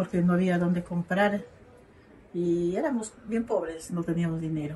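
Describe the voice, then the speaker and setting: Against noticeable background noise, a woman speaks at a moderate pace with medium pitch and ordinary pitch variation. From Ecuador, southern Amazon region (Zamora Chinchipe). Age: 60s. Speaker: local elder interviewee. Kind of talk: interview testimony.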